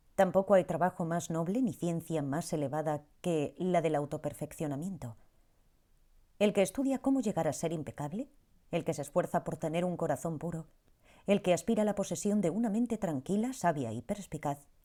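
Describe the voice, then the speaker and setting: A woman speaks at a moderate pace with a dark, mellow tone and lively intonation. The recording is very clean, with a silent background. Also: fairly low pitch for a woman. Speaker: audiobook narrator. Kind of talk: audiobook narration, reflective reading.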